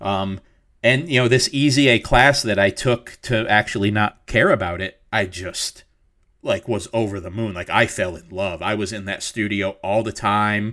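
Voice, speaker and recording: In an American accent, a man speaks at a moderate pace and a fairly low pitch, with ordinary pitch variation. His tone is bright and sharp, on a very clean recording with a silent background. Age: 40s. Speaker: designer and illustrator. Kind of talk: interview.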